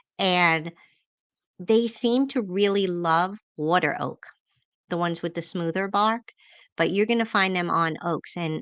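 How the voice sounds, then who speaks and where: A woman's medium pitch at a moderate pace, with ordinary pitch variation, a dry, close sound with no echo and a quiet background. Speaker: forager and foraging teacher. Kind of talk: casual livestream Q&A chat. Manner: animated.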